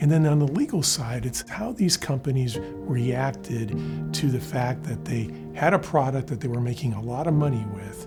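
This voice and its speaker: With music in the background, a man at a medium pitch talks at a moderate pace, his voice swinging very widely in pitch. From Cuba. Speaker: trial lawyer, mesothelioma attorney. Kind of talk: corporate interview answer about legal services.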